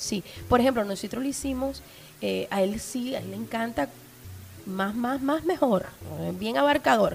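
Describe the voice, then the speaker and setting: A woman's fairly high voice at a fairly slow pace, with lively intonation and long, frequent pauses. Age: 30s. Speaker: sex podcaster. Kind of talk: casual chat. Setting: studio with small audience.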